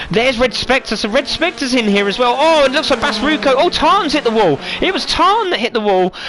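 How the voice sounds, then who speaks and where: A man with a British accent talks at a fairly quick pace with lively intonation over noticeable background noise. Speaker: sim racing commentator. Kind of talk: live commentary. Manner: animated.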